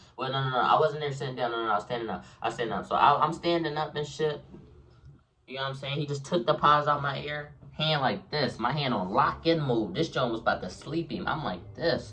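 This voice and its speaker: A man with an American accent talks very fast in a fairly high, bright, sharp voice with vocal fry. His tone is animated, and his pitch varies in an ordinary way. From Philadelphia, US. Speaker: YouTuber and streamer. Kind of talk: storytime.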